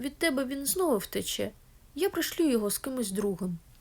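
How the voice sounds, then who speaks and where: Putting on a character voice, a woman speaks high in pitch at a fairly quick pace. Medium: read story. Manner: authoritative, curt.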